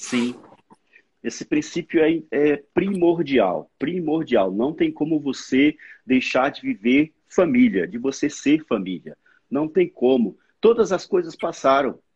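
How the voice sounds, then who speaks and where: A man speaks very slowly at a fairly high pitch, his voice swinging very widely. The sound is dry and close, with no echo. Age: 40s. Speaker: former pastor. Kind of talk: casual chat.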